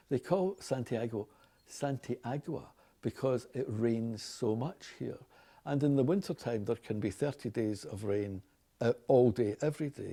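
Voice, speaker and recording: Speaking with a Glaswegian accent, a man has a medium pitch, ordinary pitch variation, and a fairly slow pace. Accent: Scottish, Glaswegian. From Glasgow, Scotland. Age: 60s. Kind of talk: casual unscripted talk.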